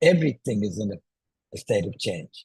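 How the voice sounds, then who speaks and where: A man speaks with very wide pitch swings and vocal fry. The sound is dry and close, with no echo. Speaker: zoom tutor. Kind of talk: tutorial. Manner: loud.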